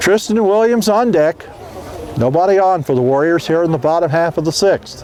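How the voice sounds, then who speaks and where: A man talks at a moderate pace with very even loudness and ordinary pitch variation. His pitch is high, and there is noticeable background noise. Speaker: baseball play-by-play announcer. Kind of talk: live commentary.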